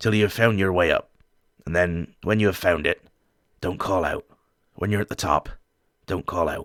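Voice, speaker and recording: A raspy, put-on character voice moves at a moderate pace, broken by long, frequent pauses. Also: man, very deep, low pitch for a man. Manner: peculiar, eerie.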